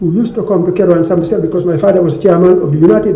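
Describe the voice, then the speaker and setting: Amid noticeable background noise and audible room echo, a man speaks at a very fast pace with a high pitch. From Gambia. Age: 70s. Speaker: book launch speaker. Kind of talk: speech. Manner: halting.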